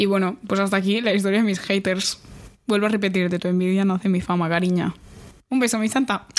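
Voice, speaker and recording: A woman speaks very fast at medium pitch with fairly even intonation. Her loudness stays very even on a very clean recording with a silent background. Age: young. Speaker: podcast co-host. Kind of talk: casual chat. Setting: studio, recording in person.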